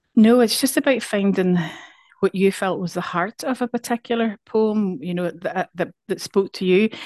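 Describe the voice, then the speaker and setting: A woman with a Northern Irish accent speaks at a moderate pace in a medium pitch, her pitch varying in an ordinary way, and the sound is dry and close with no echo. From Northern Ireland. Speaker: poet. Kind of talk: casual interview. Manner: halting, repeats words.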